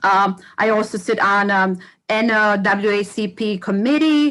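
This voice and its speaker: A woman speaks with a Bosnian accent at a fairly high pitch. Her tone is bright and sharp. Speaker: educator and community organization co-founder. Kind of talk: self-introduction on a livestream panel. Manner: halting, many fillers.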